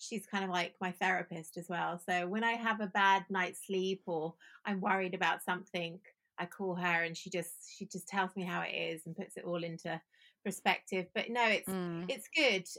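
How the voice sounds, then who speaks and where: Her bright, sharp tone sits at a medium pitch as a woman speaks at a moderate pace with fairly even intonation. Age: 40s. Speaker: founder of a modeling agency, former model. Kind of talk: casual interview.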